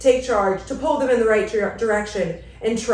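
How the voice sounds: With ordinary variation in pitch, the speaker reads in a natural voice.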